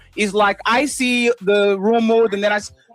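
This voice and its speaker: A high-pitched man with an American accent, music in the background. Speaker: live stream host. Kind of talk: heated debate. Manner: animated.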